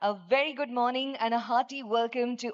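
A woman with an Indian accent, fairly high-pitched, speaking at a fairly quick pace against a quiet background. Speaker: event anchor, master of ceremonies. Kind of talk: live government conference hosting. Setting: PA system, live event hall. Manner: enthusiastic, upbeat. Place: hall. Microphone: podium.

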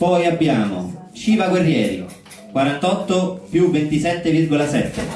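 The voice has a slightly mellow tone and lively intonation at a fairly slow pace. Strong room echo surrounds it. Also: man, fairly high pitch for a man.

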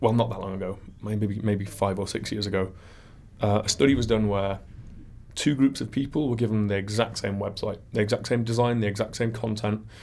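A man with a northern English accent talks at a fairly quick pace, his fairly low pitch held in fairly even intonation. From northern England. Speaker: web performance consultant; interview guest. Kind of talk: interview. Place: studio. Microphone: studio mic.

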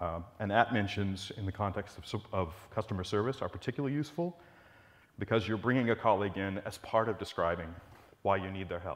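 Speaking at a fairly quick pace, the man uses a plain, everyday voice that sits fairly low in pitch, with ordinary pitch variation. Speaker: conference presenter. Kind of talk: lecture. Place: hall. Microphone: lapel.

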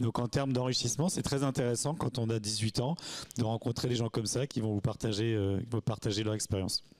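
A man talks at a fairly quick pace. His loudness stays very even and his intonation fairly even. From Normandy, France (Sainte-Marie-du-Mont). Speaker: restaurant and hotel owner. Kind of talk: interview. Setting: at a campsite. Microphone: handheld.

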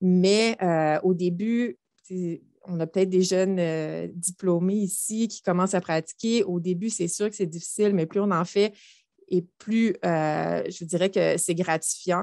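With a dark, mellow tone at medium pitch, a woman speaks at a very slow pace and fairly even intonation, the sound dry with no echo and the background quiet. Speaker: optometry professor. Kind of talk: panel discussion. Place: office. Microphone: headset.

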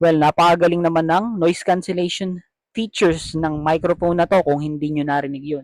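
Recorded with a dry, close sound and no echo, a man talks fairly quickly in a high pitch with fairly even intonation. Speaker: vlogger. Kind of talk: product review. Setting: at home, later outdoors at night. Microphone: cheap wireless lavalier mic, compared with no mic.

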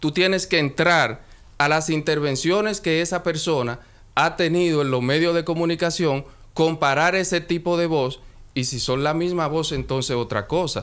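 The man's voice sits fairly high in pitch. He talks at a moderate pace with ordinary pitch variation. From Dominican Republic. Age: 20s. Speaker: lawyer. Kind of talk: radio interview. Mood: firm, defensive denial. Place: studio. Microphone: studio mic.

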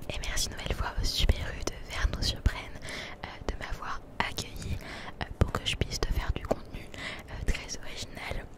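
Whispering and soft-spoken, a woman talks at a moderate pace with long, frequent pauses, the sound dry with no echo despite loud background noise. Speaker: ASMR content creator. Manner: soft close-mic ASMR whisper. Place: shop. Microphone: handheld.

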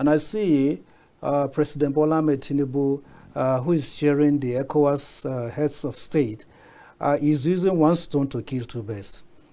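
A man's dark, mellow voice, fairly high in pitch, with ordinary pitch variation and a moderate pace. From Nigeria. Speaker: media consultant and political commentator. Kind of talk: studio panel discussion. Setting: TV studio. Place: studio.

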